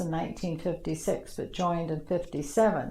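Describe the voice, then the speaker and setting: A woman's dark, mellow tone at fairly low pitch, with fairly even intonation and a Canadian accent. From Ontario, Canada (Toronto area). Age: 70s. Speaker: retired navy nursing sister. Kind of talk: oral history interview. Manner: halting, many fillers.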